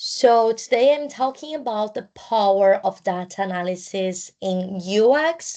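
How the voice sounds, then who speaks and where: A woman with a non-native accent and a dark, mellow tone, speaking at a very slow pace. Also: quiet background. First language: not English. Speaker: student. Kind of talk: class presentation. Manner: partly reading from notes; halting.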